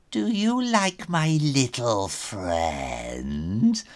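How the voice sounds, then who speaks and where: A man puts on a theatrical character voice at medium pitch. The recording is very clean, with a silent background. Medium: read story. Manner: sly, theatrical.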